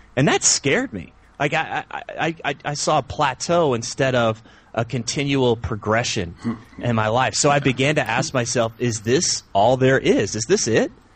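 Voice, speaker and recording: Animated and somewhat breathy, a man with an American accent speaks at a medium pitch and moderate pace with ordinary pitch variation. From US South. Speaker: men's coach and podcaster. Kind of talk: interview.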